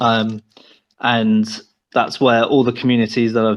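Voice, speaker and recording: A man of medium pitch with a British accent, flat monotone intonation and a moderate pace. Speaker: game developer. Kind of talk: interview.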